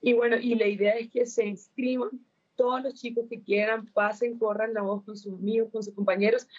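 This woman has a plain, everyday voice, fairly high in pitch. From Colombia. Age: young. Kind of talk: interview.

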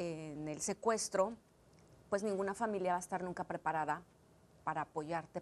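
Against a quiet background, a woman talks at a moderate pace in a fairly low voice. Hers is a plain, everyday voice. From Mexico City, Mexico, then Los Angeles from age 11. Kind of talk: interview testimony. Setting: studio.

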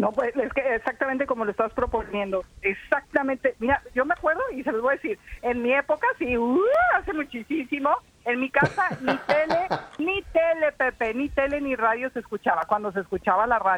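A woman with a high pitch, lively intonation and an animated tone, at a moderate pace, dry and close with no echo, over noticeable background noise. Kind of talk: casual chat.

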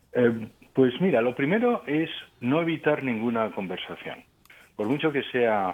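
A man speaks at a fairly slow pace in a plain, everyday voice, medium in pitch, with lively intonation. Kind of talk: radio interview.

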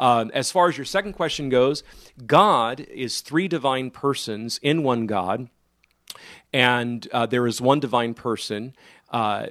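An ordinary speaking voice from a man, medium in pitch with ordinary pitch variation. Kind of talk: call-in radio show. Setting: studio.

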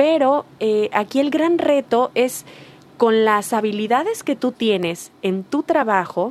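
Her high pitch and lively intonation mark this woman's speech. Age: 40s. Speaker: workshop facilitator, humanities doctor. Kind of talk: radio talk show. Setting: radio studio.

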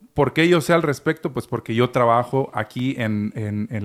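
Recorded very clean over a silent background, a man uses an ordinary speaking voice at medium pitch with ordinary pitch variation. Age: 30s. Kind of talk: casual chat.

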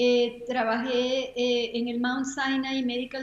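A woman's high voice unfolds very slowly. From Venezuela. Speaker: retired HR executive and volunteer. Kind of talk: interview.

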